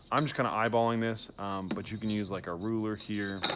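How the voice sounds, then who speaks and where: This man has an unremarkable speaking voice with a fairly low pitch. He talks at a fairly quick pace with fairly even intonation. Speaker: art teacher. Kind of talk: tutorial.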